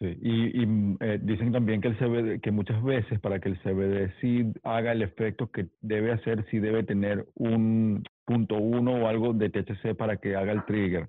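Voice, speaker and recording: A man speaks in a monotone, flat line at a fairly low pitch, his loudness very even. His pace is fairly slow, with hardly any pauses. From Mérida, Venezuela. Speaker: DJ and podcast co-host. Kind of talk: casual chat.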